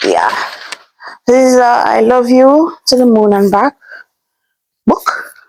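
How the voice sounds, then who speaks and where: A woman's high-pitched voice at a fairly slow pace, with long, frequent pauses, ordinary pitch variation and very even loudness. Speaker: vlogger. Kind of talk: casual unboxing vlog.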